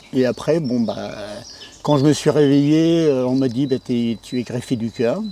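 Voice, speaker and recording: A man talks at a fairly slow pace with a dark, mellow tone. His pitch is medium with ordinary variation. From northern France, Pas-de-Calais (Gueudecourt). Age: 60s. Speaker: farmer, heart transplant patient. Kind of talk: testimony interview. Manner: hesitant, many filler sounds.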